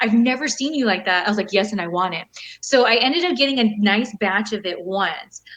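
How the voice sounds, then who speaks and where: Animated and lively in intonation, a woman with a Californian accent talks at a fairly quick pace and a fairly high pitch. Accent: General American (Californian). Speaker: professional wrestler and model. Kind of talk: casual interview chat. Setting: video call.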